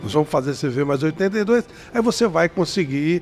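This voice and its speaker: Fairly brisk speech from a man, high in pitch, the intonation lively and varied. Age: 60s. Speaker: interview show host. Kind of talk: interview.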